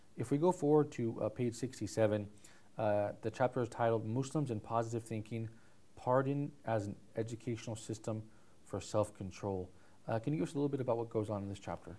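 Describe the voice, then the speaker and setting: At a fairly quick pace, a man at medium pitch speaks with ordinary pitch variation, his tone dark and mellow and somewhat breathy. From Greek background. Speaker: TV book review show host. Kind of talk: interview show conversation. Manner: fast.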